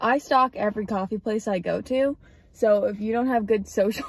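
Somewhat breathy, a woman speaks at a fairly quick pace with ordinary pitch variation, her sound dry with no echo. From Massachusetts, US. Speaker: student athlete vlogger; student vlogger. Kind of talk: casual vlog; casual vlog chat. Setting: in a car. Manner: casual, filler-heavy. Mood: chatty, light. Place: car. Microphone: phone near.

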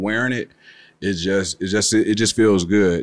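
Dry with no echo, a man's fairly low voice comes through in a flat monotone. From Chicago, West Side (Austin); Chicago. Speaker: rapper; guest. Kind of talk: casual interview. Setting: studio. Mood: relaxed, casual. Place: studio. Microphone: studio mic.

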